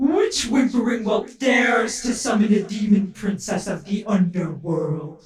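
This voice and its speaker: In a put-on character voice, the speech moves at a moderate pace with hardly any pauses. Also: woman, medium pitch for a woman. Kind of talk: ASMR roleplay. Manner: theatrical, menacing.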